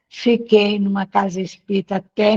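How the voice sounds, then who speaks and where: A woman's medium-pitched voice, somewhat breathy with a dark, mellow tone, comes through very slowly in a dry, close sound with no echo. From Brazil, northern Minas Gerais (Pedra Azul, Jequitinhonha Valley). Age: 70s. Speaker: spiritist movement leader. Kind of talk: interview, personal life story. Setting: video call.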